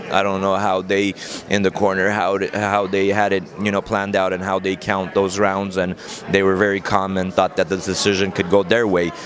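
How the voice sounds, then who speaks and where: With an Armenian accent, a man of fairly low pitch talks at a moderate pace in a monotone, flat intonation over noticeable background noise. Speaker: boxing trainer. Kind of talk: interview. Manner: conversational, many fillers.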